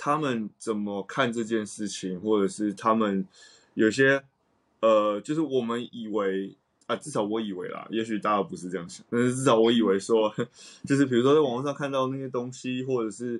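Fairly brisk talk from a man with an unremarkable speaking voice, mid-range in pitch and ordinary in its pitch movement. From Taiwan. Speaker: jazz saxophonist. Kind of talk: casual chat.

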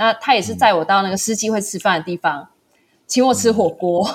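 A normal speaking voice keeps a moderate pace and shows ordinary pitch variation. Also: woman. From Taiwan. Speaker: small business founder and backpacker. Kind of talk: casual interview chat.

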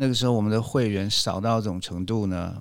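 His intonation is fairly even. The man speaks at a fairly quick clip. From Taiwan, moved to US at 12 (Orange County, California). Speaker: public speaking club member. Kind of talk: casual interview.

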